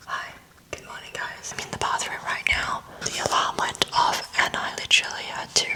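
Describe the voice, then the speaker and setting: A woman is whispering with noticeable background noise around her. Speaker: lifestyle vlogger. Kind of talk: vlog narration. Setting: at home early morning.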